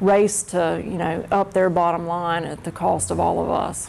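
A woman in an American accent, moderate pace, fairly even intonation. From North Carolina. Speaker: labor union representative. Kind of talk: classroom Q&A. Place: classroom.

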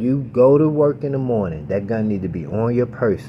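At a moderate pace, a man speaks at medium pitch in an animated tone with lively intonation. Noticeable background noise sits behind him. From Baltimore, Maryland, US. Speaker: gun YouTuber. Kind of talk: casual tutorial. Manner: casual, animated.

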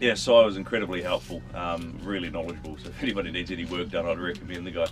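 A man's voice with clear music in the background. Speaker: travel vlogger. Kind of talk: casual vlog chat. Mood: relieved, upbeat. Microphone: camera far.

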